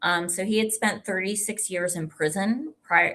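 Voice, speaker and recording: A woman's bright, sharp tone over a quiet background. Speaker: lawyer, commission director. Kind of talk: public talk. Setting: library event with audience. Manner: frequent fillers (um).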